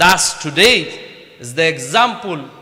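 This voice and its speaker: At a very slow pace, a man with a Bengali accent speaks with very wide pitch swings amid audible room echo. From Bangladesh. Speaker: mayor. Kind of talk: formal speech at event.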